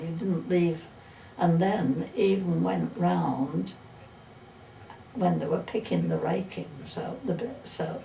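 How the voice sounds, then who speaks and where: With a Derbyshire accent, a woman talks at a very slow pace amid noticeable background noise and audible room echo. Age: old. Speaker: retired farm worker. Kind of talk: oral history interview.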